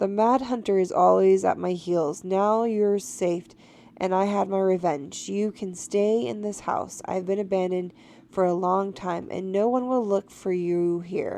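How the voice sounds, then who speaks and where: A woman puts on a croaky character voice. She talks at a moderate pace and a medium pitch. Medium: solo performance. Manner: loud, croaking.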